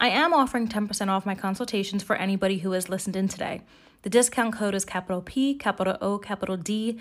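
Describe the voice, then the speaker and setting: A woman with an American accent, an ordinary speaking voice, a medium pitch and ordinary pitch variation. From United States. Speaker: podcast host and citizenship consultant. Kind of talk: scripted educational podcast.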